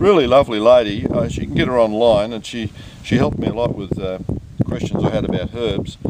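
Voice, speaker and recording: A man speaks with an Australian accent at a medium pitch and a fairly quick pace. His pitch varies in an ordinary way, with noticeable background noise behind him. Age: 60s. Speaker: home gardener. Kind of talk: casual chat.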